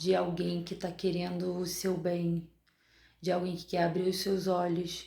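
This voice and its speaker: A quiet, somewhat breathy woman's voice, fairly low in pitch, with a dark, mellow tone and audible room echo. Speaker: dentist and vlogger. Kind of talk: video diary. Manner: speaking quietly.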